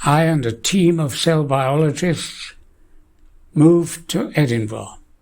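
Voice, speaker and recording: At a fairly high pitch and a very slow pace, a man talks with ordinary pitch variation. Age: 80s+. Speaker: scientist. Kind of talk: lecture.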